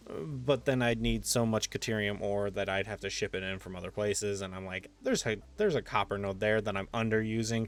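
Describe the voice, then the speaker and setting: A man talks at a moderate pace in a relaxed tone, with music in the background. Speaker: gaming video creator. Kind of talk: gameplay commentary. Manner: casual, relaxed.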